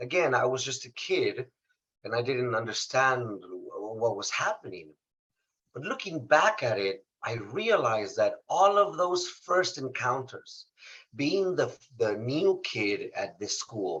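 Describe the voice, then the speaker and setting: This man talks at a fairly slow pace with a Spanish accent. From Mexico, Saltillo, Coahuila. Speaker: motivational speaker. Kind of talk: interview testimony.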